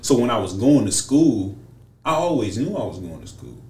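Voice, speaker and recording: A man of medium pitch speaks with vocal fry, his voice carrying audible room echo. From US Midwest (Lorain, Ohio). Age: 20s. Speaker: former college football player. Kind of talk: casual chat. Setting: studio.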